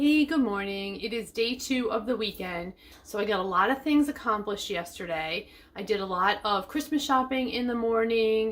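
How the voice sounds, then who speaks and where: In an ordinary speaking voice, a woman talks at a moderate pace, fairly high in pitch with ordinary pitch variation. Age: 50s. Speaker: lifestyle vlogger. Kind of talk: casual vlog chat. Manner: chatty.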